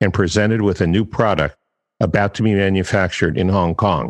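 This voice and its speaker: Against a quiet background, a man talks at a fairly quick pace in a plain, everyday voice with a fairly low pitch. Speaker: copywriting coach, podcast host. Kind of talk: podcast commentary, reading quotes.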